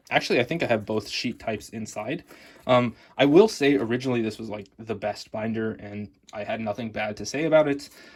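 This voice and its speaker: A man with an American accent speaks at a fairly quick pace in a plain, everyday voice, his medium pitch showing ordinary pitch variation. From United States. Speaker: card collecting youtuber. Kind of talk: product review. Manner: casual, with filler words.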